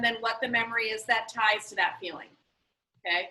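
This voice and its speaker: Her bright, sharp tone carries as the woman speaks at a moderate pace. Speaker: school teacher. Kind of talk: classroom instruction.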